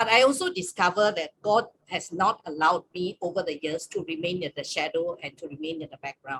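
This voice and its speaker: In an ordinary speaking voice, a woman talks at a medium pitch with lively intonation, the sound dry and close with no echo. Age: 60s. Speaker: campus ministry staff leader. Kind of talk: webinar sharing.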